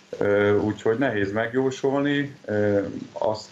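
There is light background noise as a man speaks with fairly even intonation. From Hungary. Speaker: handball player; interviewee. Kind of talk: interview. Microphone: video call.

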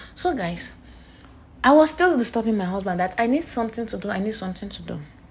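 A somewhat breathy woman with a Nigerian accent and lively intonation. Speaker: nurse and vlogger; vlogger. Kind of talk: casual vlog storytelling. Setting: outdoors at a beach. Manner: animated. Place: street. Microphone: phone near.

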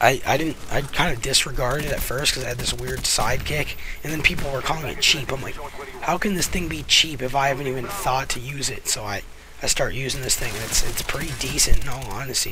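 A man at a fairly quick pace with ordinary pitch variation and noticeable background noise. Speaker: gaming commentator. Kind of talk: gameplay commentary. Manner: casual.

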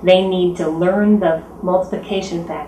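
Fairly low in pitch, a woman speaks with fairly even intonation amid light background noise and audible room echo. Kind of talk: interview answer. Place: home room.

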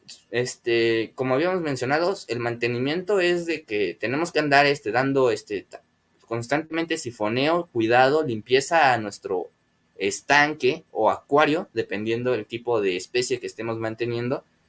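Male voice with a Mexican accent and ordinary pitch variation. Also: moderate pace. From Mexico. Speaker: aquarium hobby youtuber. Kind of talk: live stream chat with viewers. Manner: hesitant, many filler words. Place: home room. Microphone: webcam.

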